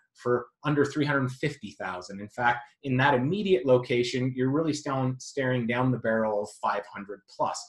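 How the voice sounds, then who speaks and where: A normal speaking voice from a man, medium in pitch, at a moderate pace with ordinary pitch variation. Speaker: real estate agent. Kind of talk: sales pitch. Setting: screen-share video.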